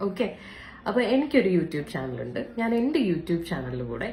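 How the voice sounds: Audible room echo surrounds a woman whose low-pitched voice has a dark, mellow tone, big pitch swings and a moderate pace.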